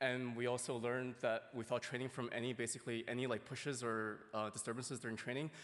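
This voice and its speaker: A man talks very fast at a medium pitch, his intonation monotone and flat. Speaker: robotics researcher. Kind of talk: conference talk.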